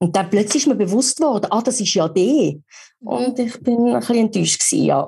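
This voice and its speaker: Vocal fry runs through a woman's speech, which keeps very even loudness. She speaks at a fairly quick pace with lively intonation. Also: fairly high pitch for a woman. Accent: Swiss. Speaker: voice actor. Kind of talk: podcast interview answer.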